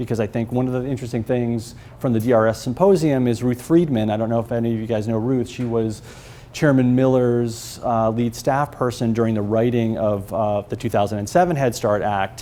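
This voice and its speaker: The man talks at a fairly quick pace and a medium pitch. His pitch varies in an ordinary way. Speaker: early childhood education researcher presenting at a conference panel. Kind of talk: conference presentation. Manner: fast; informal.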